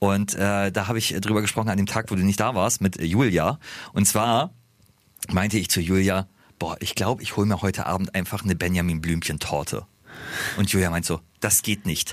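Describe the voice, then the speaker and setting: At a fairly quick pace, a man with a plain, everyday voice speaks fairly low with fairly even intonation on a very clean recording with a silent background. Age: 30s. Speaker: radio host. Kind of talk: casual chat.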